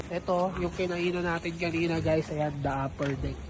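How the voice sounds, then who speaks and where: A moderate pace with noticeable background noise. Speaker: vlogger. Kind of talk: travel vlog. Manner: quiet, lowered voice.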